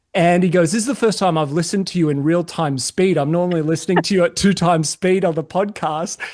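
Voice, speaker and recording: In an Australian accent, a man speaks at a fairly quick pace with hardly any pauses. His voice is high with ordinary pitch variation, set against a quiet background. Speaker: podcast host. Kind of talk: casual chat.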